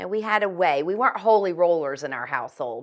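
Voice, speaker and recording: Against a quiet background, a woman with a Southern US accent talks very fast in an animated tone. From US South (Virginia). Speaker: chiropractor and metaphysical healer, author. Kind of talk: interview.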